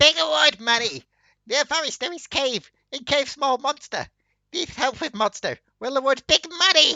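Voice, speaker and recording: In a put-on character voice, a female-sounding speaker goes at a moderate pace with a high pitch for a woman. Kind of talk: broken caveman-style English. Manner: dumb, simple, broken speech.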